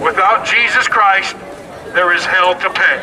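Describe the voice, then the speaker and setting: A man with an American accent at a fairly slow pace, over noticeable background noise. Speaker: street preacher. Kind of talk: street preaching to a crowd. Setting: outdoors, public street. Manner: loud, forceful, confrontational.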